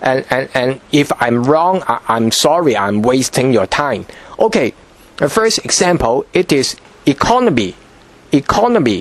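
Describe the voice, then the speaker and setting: A man's fairly high voice with very wide pitch swings at a moderate pace, over noticeable background noise. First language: Cantonese. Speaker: language teacher. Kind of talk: tutorial. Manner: halting, frequent repetitions and fillers.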